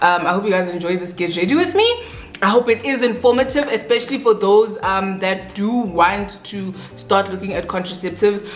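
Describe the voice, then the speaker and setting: There is noticeable background noise and audible room echo. A woman talks at medium pitch and a fairly quick pace. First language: not English. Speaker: beauty vlogger. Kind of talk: casual chat while doing makeup. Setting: at home with bright lights, doors open.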